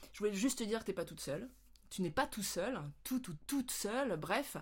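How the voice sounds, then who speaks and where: Somewhat breathy and animated, this voice moves at a moderate pace with lively intonation. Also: woman. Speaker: vlogger. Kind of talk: casual vlog talk. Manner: hesitant with fillers.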